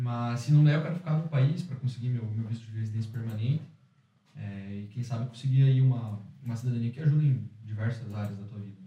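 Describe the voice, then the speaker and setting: A very fast pace with ordinary pitch variation and big swings in loudness. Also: man, medium pitch for a man. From Curitiba, southern Brazil. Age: 20s. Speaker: entrepreneur, former exchange student. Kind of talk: casual interview. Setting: studio with small audience.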